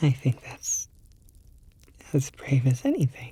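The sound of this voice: Putting on a character voice, a woman speaks slowly at an extremely low pitch, her dark, mellow tone carrying a husky, rough edge and big pitch swings.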